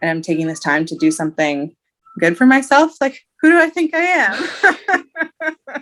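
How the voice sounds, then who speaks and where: A high-pitched female voice, a woman's, with very wide swings in pitch. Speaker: tattoo shop owner in addiction recovery. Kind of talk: personal testimony in interview. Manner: halting, many fillers and repetitions.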